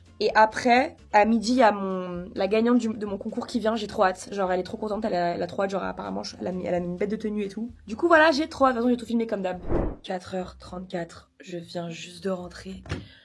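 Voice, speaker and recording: A woman rattles off her words very fast while noticeable background noise runs underneath. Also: medium pitch for a woman, ordinary pitch variation. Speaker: vlogger. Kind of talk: vlog. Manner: fast casual with many fillers.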